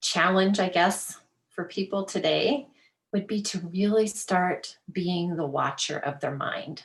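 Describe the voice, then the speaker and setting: A woman speaks with a somewhat breathy voice at a medium pitch. Her pace is fairly slow, with ordinary pitch variation. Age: 50s. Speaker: life coach. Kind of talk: interview. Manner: casual, filler-heavy.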